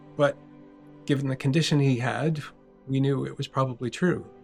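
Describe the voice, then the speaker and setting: A man's fairly high voice at a moderate pace, with music in the background. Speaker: cartoonist. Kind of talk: scripted personal video essay narration. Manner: reflective, emotional.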